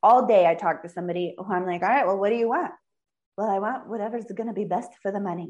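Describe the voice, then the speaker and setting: A woman at a very fast pace, medium pitch and ordinary pitch variation, against a quiet background. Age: 30s. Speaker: financial planner. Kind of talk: interview. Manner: animated.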